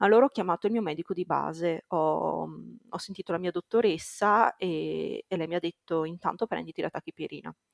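A woman at a fairly quick pace, dry and close with no echo. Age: 20s. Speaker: primary school teacher, new mother. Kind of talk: testimony.

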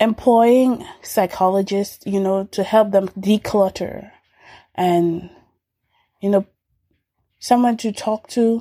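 Using a dark, mellow tone at a medium pitch, a woman speaks at a very slow pace with fairly even intonation and long, frequent pauses, in a dry, close sound with no echo. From Dominica, Caribbean. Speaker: pre-med student. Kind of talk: interview.

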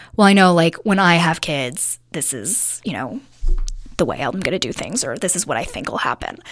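This woman talks at a moderate pace with a fairly low pitch and very wide swings in her pitch. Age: 30s. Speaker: interior designer sharing dating experiences. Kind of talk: interview.

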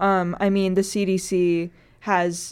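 A woman speaks with an American accent at a fairly low pitch. The recording is very clean, with a silent background. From North Dakota, US Midwest. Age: 20s. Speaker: student radio host and journalist. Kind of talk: casual chat. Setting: radio studio.

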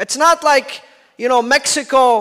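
An extremely high-pitched man's raised, projected voice, bright and sharp in tone and animated. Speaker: Shia preacher. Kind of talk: sermon. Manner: animated, emphatic.

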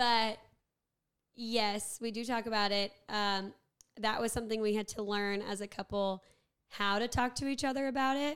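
An ordinary speaking voice from a woman with an American accent, fairly high in pitch, fairly even in intonation, at a moderate pace. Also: very clean recording, silent background. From US South, Warner Robins, Georgia. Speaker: schoolteacher. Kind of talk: casual chat.

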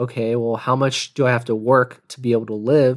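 A man with an American accent speaks at a fairly quick pace in an unremarkable speaking voice, medium in pitch, on a very clean recording with a silent background. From Texas, Pearland near Houston. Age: 20s. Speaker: podcast host, finance professional. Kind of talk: solo podcast monologue. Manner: casual, with frequent laughs.

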